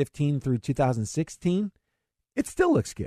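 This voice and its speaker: A man talks with a fairly high pitch and a dark, mellow tone. The sound is dry and close, with no echo. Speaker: financial radio host. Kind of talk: radio talk show about investing. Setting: radio studio broadcast. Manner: fast talker, excitable.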